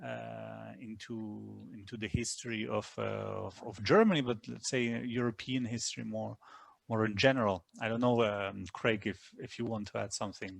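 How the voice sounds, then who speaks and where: A man speaks with a non-native accent. He keeps a moderate pace. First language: not English. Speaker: history professor. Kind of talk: webinar talk. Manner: halting, many repetitions.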